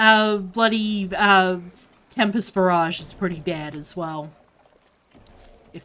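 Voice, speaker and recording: Long, frequent pauses mark this woman's speech in an Australian accent, her bright, sharp tone held in fairly even intonation with big swings in loudness. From Australia, Melbourne. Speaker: gaming streamer. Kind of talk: casual live-stream commentary. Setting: live stream while gaming.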